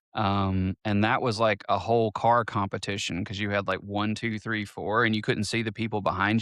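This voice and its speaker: The delivery is monotone and flat at a moderate pace. The sound is dry and close with no echo, against a quiet background. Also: man. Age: 40s. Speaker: podcast co-host. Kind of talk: casual chat. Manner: halting, many false starts.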